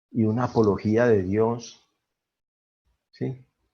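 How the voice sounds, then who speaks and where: Against a quiet background, a man talks very slowly in a monotone, flat intonation. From Colombia. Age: 60s. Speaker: twelve-step fellowship member. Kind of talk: testimony.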